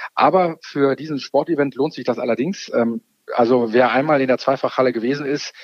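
At a fairly quick pace, a man speaks with medium pitch. His pitch varies in an ordinary way. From Rhineland, Germany (Kevelaer). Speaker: mayor. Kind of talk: phone interview. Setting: phone call. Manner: halting, many fillers.

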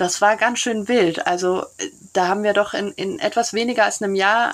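A woman with an unremarkable speaking voice, medium in pitch, at a moderate pace. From Brussels, Belgium. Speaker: neighbourhood café organiser. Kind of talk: casual interview.

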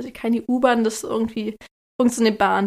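A woman with a fairly high pitch keeps her intonation fairly even, on a very clean recording with a silent background. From Lake Constance region, southern Germany. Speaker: podcast host, expectant mother. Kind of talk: casual chat.

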